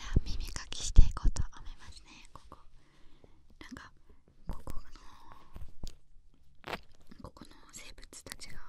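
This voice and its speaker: A soft-spoken, whispering woman at a very slow pace, with long, frequent pauses. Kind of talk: soft ASMR roleplay talk. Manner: soft close-mic ASMR whisper. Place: studio. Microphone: studio mic.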